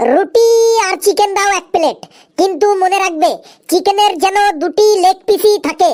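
A cartoonish character voice at an extremely high pitch moves along at a moderate pace. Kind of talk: comic cartoon dubbing.

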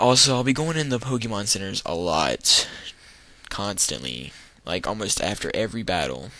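A man talks at fairly low pitch with vocal fry and very wide pitch swings. Long, frequent pauses break up his speech. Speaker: let's play gamer. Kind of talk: gameplay commentary.

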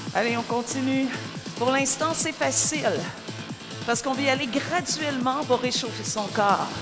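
Over music in the background, a woman speaks at a fairly slow pace with ordinary pitch variation. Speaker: spin class coach. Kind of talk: fitness class instruction. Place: studio.

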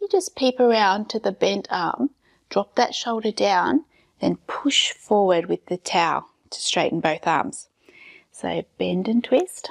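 Someone speaks at a fairly slow pace against a quiet background. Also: woman. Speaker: fitness instructor. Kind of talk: exercise class instruction. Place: empty room.

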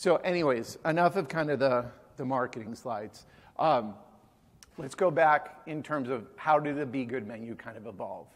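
A man's voice with ordinary pitch variation, a moderate pace and big swings in loudness. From Massachusetts, Boston area (Newton); Massachusetts. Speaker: chef and restaurant co-founder; conference presenter. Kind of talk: conference talk. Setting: stage with audience. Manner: hesitant, many fillers. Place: hall.

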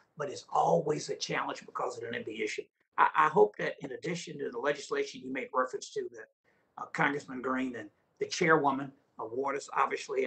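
Over a quiet background, a man with a Texan accent talks at a fairly quick pace. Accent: Texan Southern US. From Texas. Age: 60s. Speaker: county elected official; witness. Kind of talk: testimony. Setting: video call. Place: office. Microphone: video call.

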